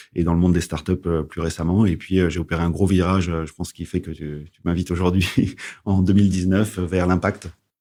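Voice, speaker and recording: Speaking at a fairly quick pace, a man with a very deep, low pitch and a dark, mellow tone keeps a monotone, flat intonation amid big swings in loudness, on a very clean recording with a silent background. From western France, Charente-Maritime. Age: 40s. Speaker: entrepreneur, agronomist. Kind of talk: interview podcast. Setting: studio. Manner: hesitant, repeats words.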